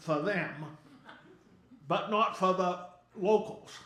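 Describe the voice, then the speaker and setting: Over noticeable background noise and audible room echo, a man with an American accent speaks fairly slowly with lively intonation. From Maine, US. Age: 70s. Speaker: humorist. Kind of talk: stand-up. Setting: stage with audience. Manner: animated.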